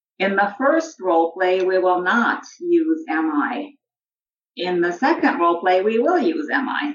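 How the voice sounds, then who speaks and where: Speaking at a fairly slow pace, a woman with a medium pitch and lively intonation uses an ordinary speaking voice. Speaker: social work professor. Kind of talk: interview with role-play. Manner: formal.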